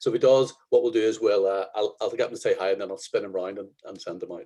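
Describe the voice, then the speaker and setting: A man is speaking. He has a Northern Irish accent. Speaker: photographer. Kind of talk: workshop. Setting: video call. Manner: hesitant.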